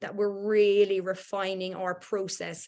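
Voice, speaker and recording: At a moderate pace, a woman speaks at medium pitch with a slight Irish accent. Her intonation is monotone and flat. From Ireland. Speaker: workplace culture consultant. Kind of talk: online workshop presentation. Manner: hesitant, many fillers.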